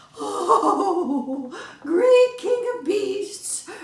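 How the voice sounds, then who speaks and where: A put-on character voice pitched extremely high, with a slight echo. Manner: trembling, pleading.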